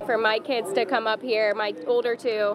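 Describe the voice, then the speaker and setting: The speaker is a woman with fairly even intonation. Noticeable background noise is present. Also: dry sound with no echo. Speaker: interviewee. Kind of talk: interview answer. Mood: cheerful, fond. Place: open country.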